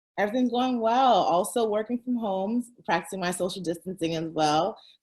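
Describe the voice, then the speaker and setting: Speaking at a fairly quick pace, a woman with an American accent uses a medium pitch and ordinary pitch variation. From San Francisco Bay Area, US. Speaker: entrepreneur, founder of a relocation platform. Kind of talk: interview. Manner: fast.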